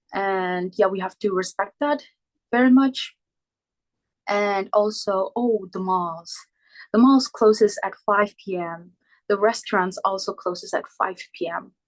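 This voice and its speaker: Pausing long and often, a woman with a non-native accent speaks fairly slowly at medium pitch with ordinary pitch variation. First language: not English. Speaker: exchange student. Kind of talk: informal presentation. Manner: halting.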